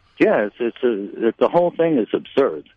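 With an American accent, a man at medium pitch speaks with lively intonation. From Brooklyn, New York. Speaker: retired cigar retailer. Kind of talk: interview.

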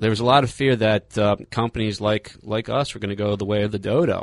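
Someone with an American accent talks at a very fast pace with fairly even intonation. The sound is dry and close with no echo. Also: man. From Philadelphia. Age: 30s. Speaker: cigar company sales manager. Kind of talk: casual interview. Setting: studio.

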